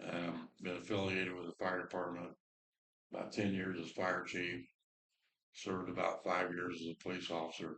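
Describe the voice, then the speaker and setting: A man with a Midwestern American accent speaks at a moderate pace in a very deep, low pitch. His intonation is monotone and flat, with long, frequent pauses. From Indiana. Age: 60s. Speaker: former council president, fire chief. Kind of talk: self-introduction at town meeting. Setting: town council meeting.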